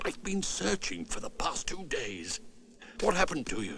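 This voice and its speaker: Clear background noise sits behind a cartoonish character voice. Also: man, moderate pace. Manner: steady, blunt.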